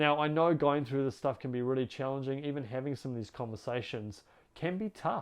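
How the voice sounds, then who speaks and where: A man with a New Zealand accent, his pitch fairly high and his pitch variation ordinary. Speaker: relationship coach. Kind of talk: advice monologue to camera. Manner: warm, earnest.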